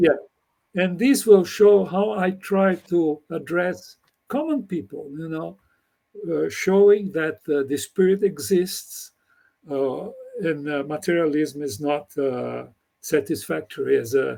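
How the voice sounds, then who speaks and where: Speaking very slowly with a Brazilian Portuguese accent, a man uses a high pitch and lively intonation. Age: 80s+. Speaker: computer scientist. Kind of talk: interview conversation. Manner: halting.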